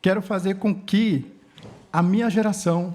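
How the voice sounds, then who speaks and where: Here a man speaks in a dark, mellow tone with ordinary pitch variation. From Brazil, Inã (Karajá) village, Tocantins region. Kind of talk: conference talk; reading aloud prepared speech. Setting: conference stage with audience.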